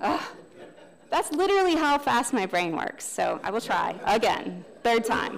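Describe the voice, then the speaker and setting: Over noticeable background noise, a woman speaks in an animated tone at a fairly high pitch that swings very widely. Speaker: trainer on systems thinking. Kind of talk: lecture. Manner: fast.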